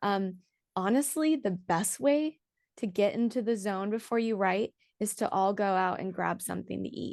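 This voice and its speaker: A woman with an ordinary speaking voice, medium pitch and ordinary pitch variation, over a quiet background. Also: moderate pace. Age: young. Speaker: EDM singer and songwriter. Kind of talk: casual interview chat. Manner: casual, chatty.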